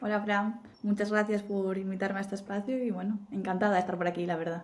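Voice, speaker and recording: A woman with an Asturian accent speaks very fast at a medium pitch in a flat monotone, over noticeable background noise. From Spain, Asturias. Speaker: marketing executive. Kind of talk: interview.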